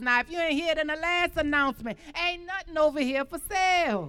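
A woman's raised, projected voice with lively intonation. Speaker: poet and community speaker. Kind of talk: spoken word poetry and speech.

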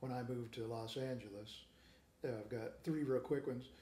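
Over noticeable background noise and audible room echo, the speaker has an American accent and ordinary pitch variation. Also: man. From Kansas City, Kansas. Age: 50s. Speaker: guitarist and guitar teacher. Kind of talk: casual interview. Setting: in person interview.

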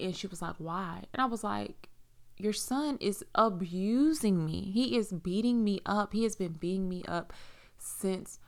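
Heard on a very clean recording with a silent background, a woman with an American accent uses a normal speaking voice at a medium pitch, speaking at a fairly slow pace with ordinary pitch variation. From South Carolina, US. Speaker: podcast host. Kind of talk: personal testimony. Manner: casual, many fillers.

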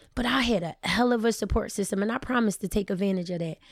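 A woman's animated, very fast delivery with ordinary pitch variation. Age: 30s. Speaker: cake baker and business owner. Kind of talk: casual chat.

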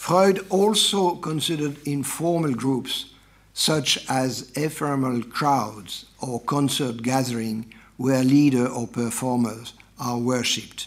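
In a French accent, a man speaks at a very slow pace and medium pitch with ordinary pitch variation, and audible room echo surrounds his voice. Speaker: professor. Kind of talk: read-out academic lecture. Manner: formal.

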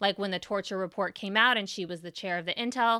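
A woman with a Californian accent, a bright, sharp tone and medium pitch, on a very clean recording with a silent background. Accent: General American (Californian). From US West Coast, San Francisco Bay Area. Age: 30s. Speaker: political podcast host. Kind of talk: solo commentary podcast. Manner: animated.

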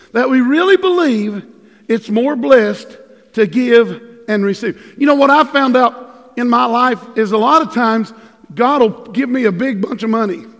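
With noticeable background noise behind him, a man talks in an animated tone at a moderate pace, his extremely high pitch showing ordinary variation. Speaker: pastor. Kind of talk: sermon. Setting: church. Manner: animated, preacherly.

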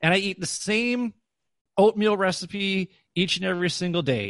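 Against a quiet background, a man with an American accent is heard in a dry, close sound with no echo. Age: 40s. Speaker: former educator and podcast host. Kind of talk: interview.

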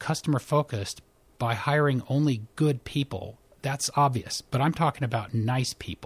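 On a very clean recording with a silent background, a man with a medium-pitched, somewhat breathy voice talks at a moderate pace with ordinary pitch variation. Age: 50s. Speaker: primary care physician. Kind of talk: interview.

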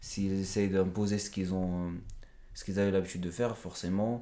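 A man's dark, mellow voice, fairly low in pitch, at a fairly quick pace with audible room echo. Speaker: author. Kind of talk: interview. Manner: halting.

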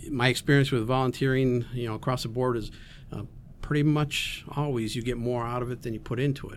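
A plain, everyday voice at a moderate pace, with fairly even intonation. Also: man. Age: 60s. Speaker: volunteer. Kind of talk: casual chat. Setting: studio.

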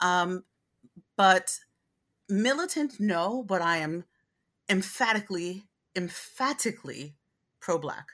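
Over a silent background in a very clean recording, a woman with an American accent speaks very slowly at a medium pitch, with lively intonation and long, frequent pauses. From Brooklyn, New York. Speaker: diversity, equity and inclusion consultant. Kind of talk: interview conversation.

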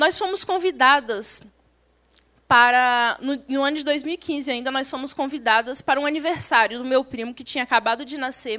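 At a moderate pace, a woman speaks in a raised, projected voice with a bright, sharp tone, a high pitch with ordinary variation, and big swings in loudness. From Brazil, Espírito Santo countryside. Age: young. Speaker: young missionary. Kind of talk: testimony. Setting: church service.

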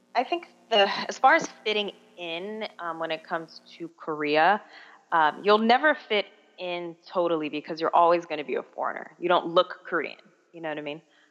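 A woman with an American accent speaks at a moderate pace in an unremarkable speaking voice, fairly low in pitch, with ordinary pitch variation and big swings in loudness. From Miami, Florida, US. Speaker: online English teacher, former teacher abroad. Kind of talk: interview.

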